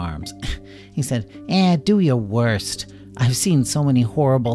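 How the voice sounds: Lively intonation in a natural reading voice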